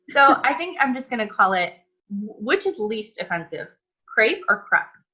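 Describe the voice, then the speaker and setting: With music in the background, a woman with an American accent speaks at a moderate pace in a high pitch. Her pitch swings very widely and her loudness shifts in big swings. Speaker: cooking channel host. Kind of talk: casual interview chat.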